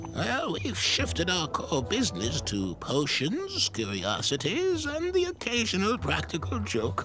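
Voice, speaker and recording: Loud music plays behind a man doing a put-on character voice at a moderate pace with hardly any pauses. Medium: machinima. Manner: dry, wry.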